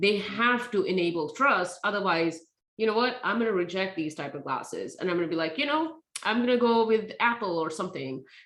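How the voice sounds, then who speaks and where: Speaking with a non-native accent, a woman uses lively intonation. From India. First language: not English. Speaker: tech safety nonprofit founder. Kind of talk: speaker series Q&A.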